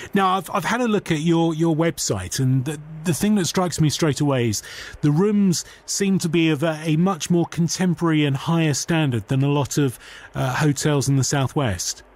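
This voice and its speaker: A man with a plain, everyday voice talks at a moderate pace and fairly high pitch. His loudness is very even, and his pitch variation is ordinary. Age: 40s. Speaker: radio host. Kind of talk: radio interview.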